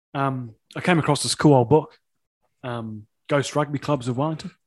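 Speaking with a New Zealand accent, a man uses a fairly high pitch, ordinary pitch variation and a moderate pace on a very clean recording with a silent background. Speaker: rugby podcast host. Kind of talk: casual chat.

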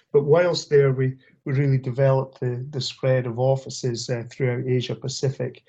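A man speaks with a Scottish accent in a dark, mellow, somewhat breathy tone. His intonation stays monotone and flat at a moderate pace. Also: medium pitch for a man. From Scotland, Aberdeen area. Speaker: corrosion industry business development director. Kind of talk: interview. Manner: halting, many fillers and repetitions.

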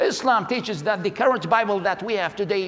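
Someone speaks with an Iraqi accent at a fairly quick pace over noticeable background noise. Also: man. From Iraq, Baghdad. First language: Arabic. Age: 40s. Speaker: preacher, convert from Islam. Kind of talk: testimony.

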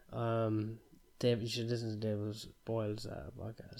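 A man puts on a character voice, mumbling at a fairly slow pace. His pitch is medium and his intonation monotone and flat.

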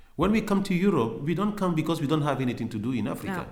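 A fairly high-pitched man's voice with lively intonation and audible room echo. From Cameroon. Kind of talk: interview. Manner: halting, many fillers.

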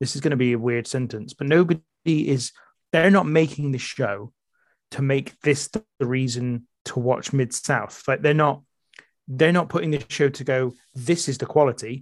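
A man's voice is heard, pitched fairly high. His pitch varies in an ordinary way. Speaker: podcast guest, wrestling podcaster. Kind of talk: casual chat. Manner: fast.

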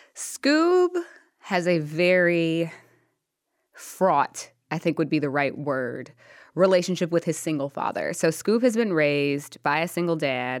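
In a very clean recording with a silent background, a woman with an ordinary speaking voice talks at a fairly low pitch. She goes at a fairly slow pace with ordinary pitch variation. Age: 30s. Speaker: author. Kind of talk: interview.

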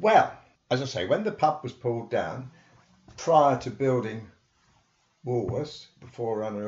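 With a southern English accent, a man of medium pitch sounds somewhat breathy, his lively intonation broken by long, frequent pauses and big swings in loudness. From England, Hitchin, Hertfordshire. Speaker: local historian. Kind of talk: interview storytelling. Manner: animated.

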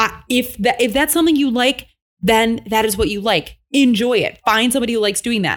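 With an ordinary speaking voice, a woman talks at a fairly quick pace and a fairly high pitch with ordinary pitch variation. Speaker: podcast host. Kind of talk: casual chat.

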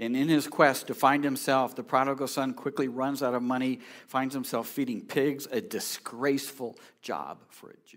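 Speaking with an American accent, a man uses a normal speaking voice at medium pitch and moderate pace. His loudness swings widely on a very clean recording with a silent background. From California. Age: 60s. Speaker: pastor. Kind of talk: sermon. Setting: church.

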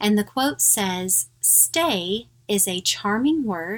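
Captured in a very clean recording against a silent background, an ordinary speaking voice carries lively intonation. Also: woman. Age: middle-aged. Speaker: podcast host. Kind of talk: casual chat.

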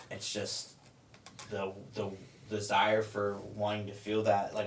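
This is a man speaking. Noticeable background noise sits behind him. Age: 30s. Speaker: person in drug addiction recovery. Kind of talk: casual chat.

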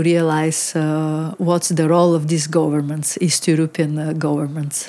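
With a Bulgarian accent, a woman speaks at a fairly low pitch. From Bulgaria (Varna). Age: 40s. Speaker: photographer. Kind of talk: interview. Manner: halting, many fillers.

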